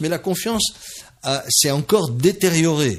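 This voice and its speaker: In a somewhat breathy voice, this man talks at a moderate pace. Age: 60s. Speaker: business leader. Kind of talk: radio interview. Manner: halting.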